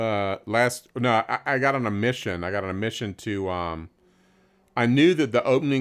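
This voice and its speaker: A man with a Southern US accent talks at a moderate pace and medium pitch, with ordinary pitch variation. The recording is very clean, with a silent background. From US South, rural central Florida. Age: 60s. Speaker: guitarist. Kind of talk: casual chat. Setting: live stream.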